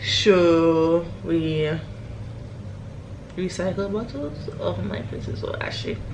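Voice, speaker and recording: With audible room echo and noticeable background noise, a woman speaks at a very slow pace, her pitch swinging very widely between long, frequent pauses. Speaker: vlogger. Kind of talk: casual vlog. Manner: whispering.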